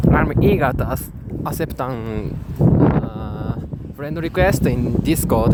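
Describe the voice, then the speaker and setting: A man with a Japanese accent at a very slow pace, amid audible room echo and noticeable background noise. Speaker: gaming YouTuber. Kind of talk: casual vlog monologue. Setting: outdoors. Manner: halting, many fillers.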